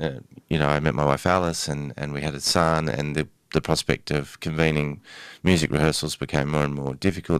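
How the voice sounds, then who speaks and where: At a fairly quick pace, a man with a very deep, low pitch keeps his intonation fairly even. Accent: Australian. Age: 40s. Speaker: novelist and family mediator. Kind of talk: interview.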